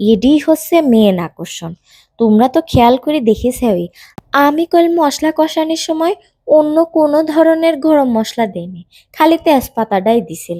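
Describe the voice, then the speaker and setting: A woman with a Pabna accent speaks at a high pitch in a dark, mellow tone, with very wide pitch swings, in a very clean recording with a silent background and a dry, close sound with no echo. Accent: Pabna regional Bengali dialect. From Pabna, Bangladesh. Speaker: home cook. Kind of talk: cooking tutorial narration.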